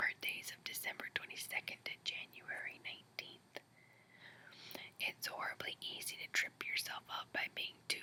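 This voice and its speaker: Someone is whispering. The pace is moderate. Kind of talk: horoscope reading. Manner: whispered.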